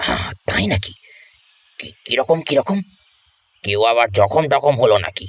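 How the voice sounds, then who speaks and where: Putting on a character voice at a medium pitch, a man talks at a moderate pace with very wide pitch swings and big swings in loudness, the sound dry and close with no echo. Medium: audio drama. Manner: warm, inquisitive.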